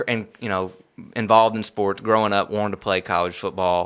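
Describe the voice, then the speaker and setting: A man's fairly low voice at a fairly quick pace, flat and monotone, with a northern Louisiana accent. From northern Louisiana, Bossier City. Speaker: sports ministry director, former college football player. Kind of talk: interview conversation.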